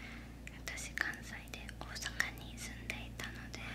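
A woman whispers. She is soft-spoken throughout. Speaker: storyteller. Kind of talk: casual conversational chat. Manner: soft ASMR whisper close to mic. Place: studio. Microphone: studio mic.

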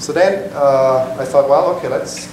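Noticeable background noise and audible room echo surround a man talking at a moderate pace. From Switzerland. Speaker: software developer, meetup presenter. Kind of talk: technical lecture. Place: meeting room. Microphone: camera far.

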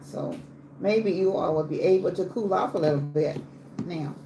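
A woman speaks with a fairly low pitch and ordinary pitch variation. Noticeable background noise is present. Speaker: home cook live streamer. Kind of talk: casual live stream chat. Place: kitchen. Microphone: phone near.

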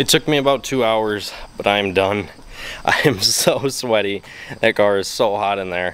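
A man with an ordinary speaking voice, fairly low pitch, ordinary pitch variation and moderate pace, in a dry sound with no echo. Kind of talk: casual vlog chat. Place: garage. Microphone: phone near.

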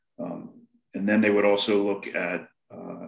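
A man's fairly low voice with audible room echo against a quiet background. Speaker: pest management specialist; panelist. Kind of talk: panel discussion on video call. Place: home room. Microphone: webcam.

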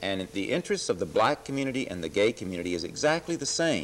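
A man speaks with an American accent at a moderate pace. His pitch swings very widely. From Texas. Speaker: city politician, former minister; guest. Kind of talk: interview. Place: studio. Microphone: lapel.

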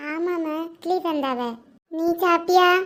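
In a cartoonish character voice pitched extremely high, a woman speaks fairly slowly with fairly even intonation. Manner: soft, affectionate.

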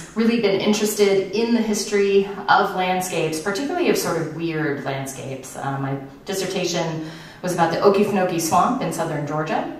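Audible room echo surrounds this recording. A woman speaks at a fairly quick pace. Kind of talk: lecture. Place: stage.

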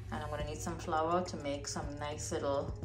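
A woman speaks with a very deep, low pitch. Faint music plays in the background. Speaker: home cook vlogger filming a relative. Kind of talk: casual vlog chat. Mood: cheerful, upbeat. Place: kitchen.

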